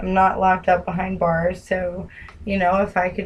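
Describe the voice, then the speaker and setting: Speaking at a moderate pace with a New Jersey accent, a woman uses a fairly low pitch. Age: 20s. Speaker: caller. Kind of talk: phone call. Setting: phone call.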